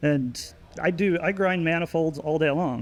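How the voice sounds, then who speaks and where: With an ordinary speaking voice, a man talks at a fairly high pitch, his pitch varying in an ordinary way. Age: 60s. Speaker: cylinder head and manifold porter. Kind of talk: technical interview.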